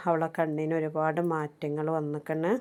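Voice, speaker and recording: The background is silent and the recording very clean. A woman talks in a fairly low voice. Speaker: vlogger. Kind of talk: travel vlog narration. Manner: casual, conversational.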